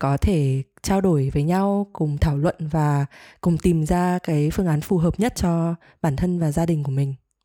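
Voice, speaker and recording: A woman's fairly slow, fairly evenly intoned speech at very even loudness, dry and close with no echo, in a very clean recording with a silent background. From Vietnam, Hanoi. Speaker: podcast co-host, teacher. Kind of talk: casual chat.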